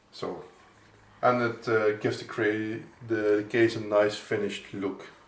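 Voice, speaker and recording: A man's voice comes with audible room echo. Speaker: PC building tutorial maker. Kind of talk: tutorial. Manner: halting, many fillers and restarts.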